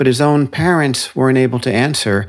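Recorded very cleanly against a silent background, a man with an American accent has a normal speaking voice at a medium pitch with ordinary pitch variation. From New Jersey, New York City suburbs. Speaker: author. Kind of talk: interview.

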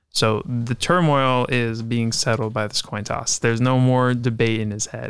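A man with an ordinary speaking voice, medium pitch, fairly even intonation, moderate pace and hardly any pauses, on a very clean recording with a silent background. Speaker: podcast host, writer.

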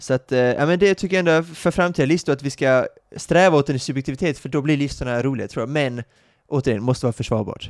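A man talks at a very fast pace with ordinary pitch variation, captured in a very clean recording with a silent background and a dry, close sound with no echo. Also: fairly high pitch for a man. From Sweden. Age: 30s. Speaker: podcast co-host. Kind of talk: casual chat.

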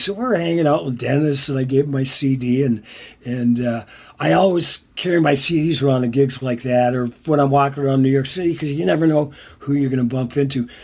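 An American accent marks this man's voice, which sits at a fairly high pitch and is somewhat breathy. He speaks at a moderate pace with ordinary pitch variation. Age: 60s. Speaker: songwriter and musician. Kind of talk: casual interview.

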